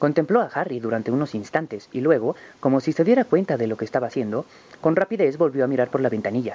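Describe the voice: Lively intonation over plain reading aloud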